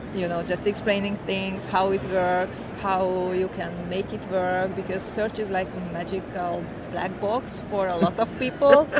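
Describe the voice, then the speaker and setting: A woman with a Hungarian accent speaks at a fairly slow pace and a medium pitch, her intonation fairly even and hardly any pauses, with noticeable background noise and audible room echo. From Hungary, central small town. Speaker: tech consultant and business owner. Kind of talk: interview. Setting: tech conference.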